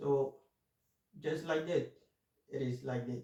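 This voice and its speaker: A man's somewhat breathy, dark, mellow voice at medium pitch, with a non-native accent. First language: not English. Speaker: finance YouTuber. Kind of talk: casual monologue. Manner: halting, many fillers.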